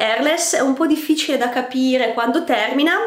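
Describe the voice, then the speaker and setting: A woman talks at a moderate pace. Noticeable background noise runs beneath her voice. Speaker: beauty vlogger. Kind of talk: casual vlog monologue, product review. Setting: video, filmed at home facing camera. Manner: chatty, ironic, halting with repetitions.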